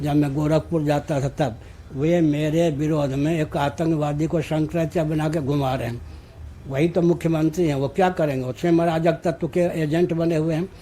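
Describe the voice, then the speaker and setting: A man speaks with fairly even intonation at a fairly high pitch. His tone is dark and mellow. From Bihar, India. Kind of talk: interview answer.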